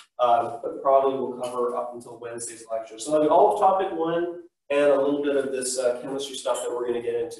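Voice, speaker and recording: A man's voice carries audible room echo. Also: quiet background. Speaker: teacher. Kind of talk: lecture. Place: classroom. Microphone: camera far.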